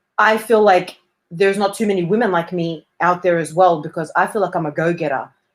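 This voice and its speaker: At a fairly quick pace, a woman with an Australian accent talks in a fairly low pitch. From Australia, Melbourne. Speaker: performer and actress. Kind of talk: interview conversation. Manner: hesitant, many fillers.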